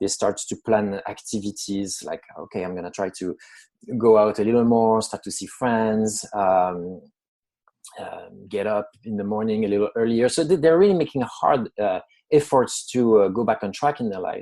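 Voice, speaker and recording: A man speaks at a moderate pace with a French accent. His fairly low voice has a dark, mellow tone. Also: ordinary pitch variation, big swings in loudness. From France. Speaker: psychologist. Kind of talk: interview. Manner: hesitant, many fillers.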